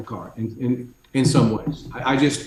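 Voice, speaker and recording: A man's somewhat breathy, dark and mellow voice at a fairly slow pace. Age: 60s. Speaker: executive coach and author. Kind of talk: casual chat.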